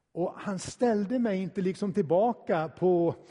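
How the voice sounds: A natural reading voice, pitch shifting in an ordinary way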